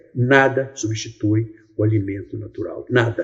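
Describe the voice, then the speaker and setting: Vocal fry with fairly even intonation. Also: man. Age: 70s. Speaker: naturopathic health practitioner. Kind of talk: health talk to camera. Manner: calm, frank.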